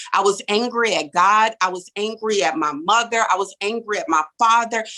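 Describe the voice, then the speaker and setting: At a moderate pace, a woman with an American accent and medium pitch is heard in a dry, close sound with no echo. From US South, New Orleans. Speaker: real estate developer. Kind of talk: testimony.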